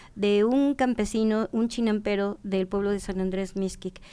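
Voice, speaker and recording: A woman with a fairly high pitch speaks in a dark, mellow tone. Her pace is moderate and her pitch varies in an ordinary way. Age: 60s. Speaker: traditional food knowledge expert. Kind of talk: podcast conversation. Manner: halting.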